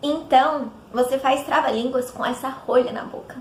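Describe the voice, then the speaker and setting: Delivered fairly slowly in an animated tone, this voice comes with noticeable background noise. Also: woman. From interior of São Paulo state, Brazil. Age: 20s. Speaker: vlogger, dubbing student. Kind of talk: casual vlog.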